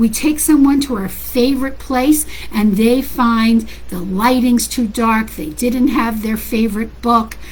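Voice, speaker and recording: A woman with a fairly high pitch and an animated tone speaks at a fairly slow pace, with noticeable background noise and audible room echo. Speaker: parenting coach. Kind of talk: casual talk to online audience. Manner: loud.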